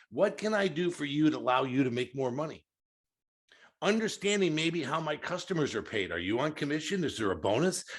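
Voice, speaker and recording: Against a quiet background, a voice with vocal fry moves at a fairly quick pace with lively intonation. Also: man, fairly high pitch for a man. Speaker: sales training consultant. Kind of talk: panel discussion.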